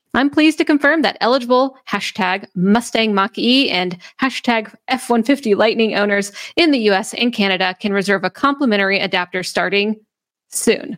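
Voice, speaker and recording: Using lively intonation, a woman with an unremarkable speaking voice talks at a moderate pace and a fairly high pitch. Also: dry, close sound with no echo. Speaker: podcast host. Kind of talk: casual chat. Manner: casual, conversational.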